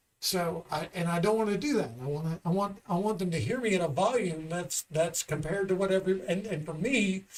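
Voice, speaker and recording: Over noticeable background noise, a man with a high voice talks at a fairly quick pace with hardly any pauses. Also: ordinary pitch variation. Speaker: stand-up comedian. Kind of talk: casual chat. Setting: studio. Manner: loud.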